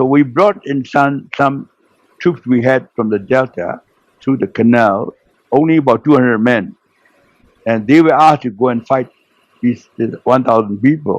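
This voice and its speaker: At a moderate pace and medium pitch, a man with a Burmese accent speaks with ordinary pitch variation and long, frequent pauses. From Burma. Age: 90s. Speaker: retired naval officer. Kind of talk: interview storytelling. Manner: halting.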